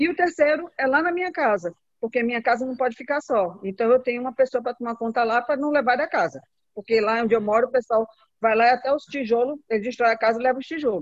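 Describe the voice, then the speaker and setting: Talking very fast, a woman uses a high voice with ordinary pitch variation, recorded in a dry, close sound with no echo. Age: 50s. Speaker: caregiver and network marketing distributor. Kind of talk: group video call testimony.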